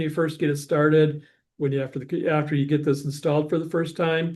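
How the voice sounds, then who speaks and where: A man with a fairly high voice talks at a fairly quick pace. His intonation is monotone and flat over a quiet background. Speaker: software trainer. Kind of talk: webinar software demo. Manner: fast; casual, halting with self-corrections.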